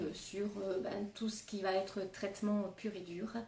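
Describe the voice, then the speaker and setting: This woman talks very slowly at a medium pitch. Noticeable background noise and audible room echo surround her voice. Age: 40s. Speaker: nurse and cancer patient. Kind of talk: testimony. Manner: hesitant, many fillers.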